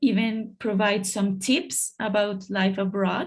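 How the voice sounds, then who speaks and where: In a Colombian accent, a woman talks at a very slow pace, her medium-pitched voice somewhat breathy. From Colombia, Bogota. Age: 30s. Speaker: international education officer. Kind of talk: online presentation. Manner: hesitant, with fillers.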